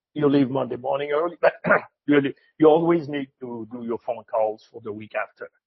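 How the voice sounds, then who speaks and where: A man with a Quebec accent talks at a moderate pace with ordinary pitch variation. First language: French. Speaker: retired cattle classifier. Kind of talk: interview. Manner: halting, repeats words.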